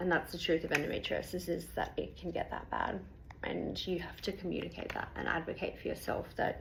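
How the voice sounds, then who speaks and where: A woman speaks at a fairly quick pace with an Australian accent. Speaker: patient sharing health experience. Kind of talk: personal testimony. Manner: fast.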